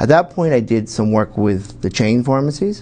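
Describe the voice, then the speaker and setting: With an American accent, the speaker moves at a fairly quick pace amid noticeable background noise. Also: man. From northeastern Pennsylvania, Wilkes-Barre. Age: 50s. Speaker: pharmacist and political candidate. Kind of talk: TV interview. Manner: halting.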